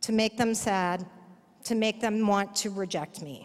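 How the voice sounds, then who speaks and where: On a very clean recording with a silent background, a woman with an American accent talks at a fairly slow pace with fairly even intonation. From Texas, Dallas. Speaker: progressive activist. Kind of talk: personal testimony speech. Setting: conference stage with audience.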